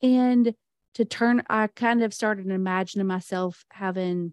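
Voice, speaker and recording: A woman with an American accent speaks in a normal speaking voice at a medium pitch, with fairly even intonation, over a quiet background in a dry, close sound with no echo. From US South. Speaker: business client and aspiring podcaster. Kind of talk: casual interview chat.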